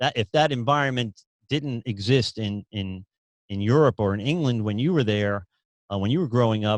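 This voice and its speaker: In a dry, close sound with no echo, a man at medium pitch speaks at a moderate pace with ordinary pitch variation. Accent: New York. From US Northeast, New York City. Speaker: podcast host. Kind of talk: interview conversation. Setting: podcast recording.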